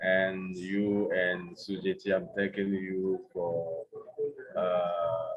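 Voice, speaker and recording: A man with a Togolese accent at a very slow pace, amid noticeable background noise. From Togo, West Africa. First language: French. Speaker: NGO executive director. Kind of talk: online panel presentation.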